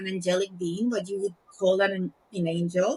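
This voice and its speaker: Somewhat breathy speech unfolds at a moderate pace. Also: woman. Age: 50s. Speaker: psychiatrist. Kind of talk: podcast interview.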